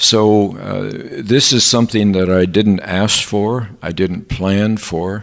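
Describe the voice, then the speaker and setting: A man's fairly low voice with an American accent, very slow pace, and fairly even intonation. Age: 70s. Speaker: professor. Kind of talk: interview. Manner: halting, with many filler sounds.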